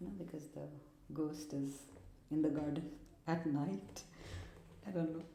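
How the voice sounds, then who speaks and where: A woman with a very deep, low pitch speaks at a moderate pace, leaving long, frequent pauses. Noticeable background noise and audible room echo are present. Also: ordinary pitch variation. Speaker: art video creator. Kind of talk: tutorial. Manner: casual, thinking aloud; mumbling.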